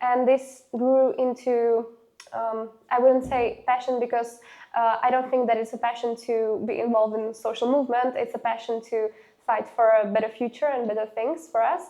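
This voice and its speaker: At a moderate pace, a woman with a Slovak accent speaks in a high pitch with fairly even intonation. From Slovakia, Nové Zámky near Hungarian border. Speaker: student council leader and activist. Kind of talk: interview. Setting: university interview. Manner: halting, many fillers.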